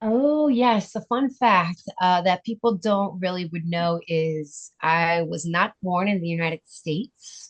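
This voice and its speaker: A woman with an unremarkable speaking voice talks at a fairly slow pace and medium pitch, with lively intonation and hardly any pauses. The sound is dry and close, with no echo. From US, Italian immigrant family. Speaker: charity founder, bereaved mother. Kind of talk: interview.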